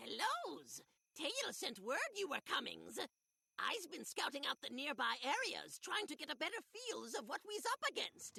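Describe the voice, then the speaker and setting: At a moderate pace, a put-on character voice speaks at a high pitch. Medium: video game. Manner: broken grammar, extra s sounds.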